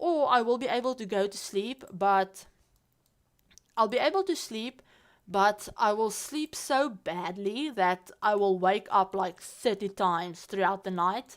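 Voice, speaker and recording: With a non-native accent and lively intonation, a woman talks fairly slowly at a medium pitch. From South Africa. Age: 20s. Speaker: Sims streamer. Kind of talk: casual livestream chat. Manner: casual, halting with repeats.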